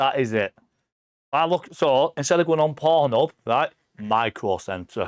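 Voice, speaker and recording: On a very clean recording with a silent background, a man with a fairly high pitch talks at a fairly slow pace in an animated tone, his intonation lively and his loudness very even. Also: dry, close sound with no echo. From England. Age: 40s. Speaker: visiting friend, gamer and streamer. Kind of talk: casual chat. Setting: live stream podcast.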